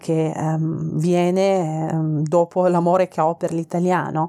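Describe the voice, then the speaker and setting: With a Persian accent, the voice has a dark, mellow tone and a dry, close sound with no echo. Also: woman. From Iran, Tehran. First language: Persian (speaking Italian). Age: 30s. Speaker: food podcaster. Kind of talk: casual cooking podcast monologue. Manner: hesitant, many fillers.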